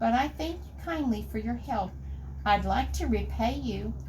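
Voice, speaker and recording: A put-on character voice speaks at a moderate pace. Background noise is clearly audible. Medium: read story.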